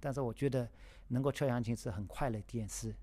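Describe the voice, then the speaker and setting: A man uses an ordinary speaking voice at a medium pitch with ordinary pitch variation. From China, Shanghai. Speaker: yangqin musician. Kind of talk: personal storytelling.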